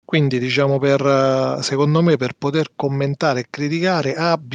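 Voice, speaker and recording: A man's fairly high voice at a fairly slow pace, with fairly even intonation and a dry, close sound free of echo. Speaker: podcast co-host. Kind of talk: casual chat.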